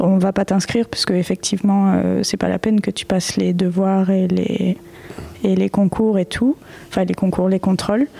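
Noticeable background noise sits behind a woman of medium pitch who talks at a moderate pace with monotone, flat intonation. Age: 20s. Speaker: digital artist. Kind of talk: interview. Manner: halting.

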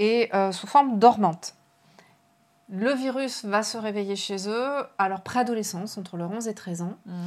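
Speaking at a fairly slow pace, a woman with a plain, everyday voice keeps a fairly high pitch, ordinary pitch variation, and big swings in loudness. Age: 40s. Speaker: novelist. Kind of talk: casual interview. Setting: live online stream.

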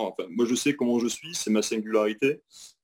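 This man has a plain, everyday voice, pitched in the medium range, with ordinary pitch variation and a moderate pace. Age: 30s. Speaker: retail store manager. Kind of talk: interview.

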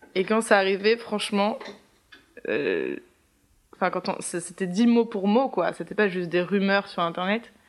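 A woman talks fairly slowly at a medium pitch. Her speech has long, frequent pauses. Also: ordinary pitch variation. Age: 20s. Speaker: theatre student. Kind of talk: casual interview. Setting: apartment with windows open.

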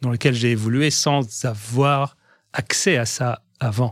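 In a very clean recording with a silent background, a somewhat breathy man talks with fairly even intonation. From Egyptian family, raised in Algiers, Algeria. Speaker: pharmaceutical industry executive. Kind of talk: interview testimony. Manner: halting, many repetitions and hesitations.

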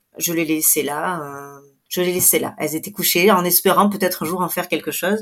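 The recording is very clean, with a silent background. The pace is fairly slow. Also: woman. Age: 40s. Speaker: photographer and author. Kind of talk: interview testimony. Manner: hesitant, many fillers.

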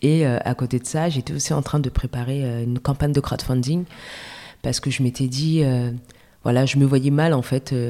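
A woman's very deep, low voice, dark and mellow in tone, with fairly even intonation. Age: 30s. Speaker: entrepreneur, cosmetics brand founder. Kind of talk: casual interview. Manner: halting.

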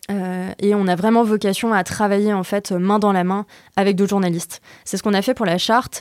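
At a fairly quick pace, a woman talks in a monotone, flat delivery at a medium pitch. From France (Normandy, then Lyon). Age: 20s. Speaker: co-founder of an environmental news outlet. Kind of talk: interview conversation. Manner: casual, many hesitations and fillers.

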